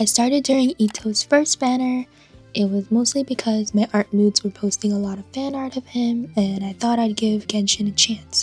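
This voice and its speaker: Over music in the background, a woman with a fairly high pitch speaks at a moderate pace with fairly even intonation, in a dry, close sound with no echo. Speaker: gacha game player. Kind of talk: casual game account tour voiceover.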